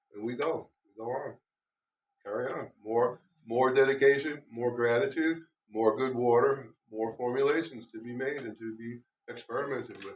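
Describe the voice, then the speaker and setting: Using a normal speaking voice, a man talks at medium pitch and a moderate pace with fairly even intonation and big swings in loudness. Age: 60s. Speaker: beekeeper and guest speaker. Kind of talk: talk to a club meeting. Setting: meeting room with live audience.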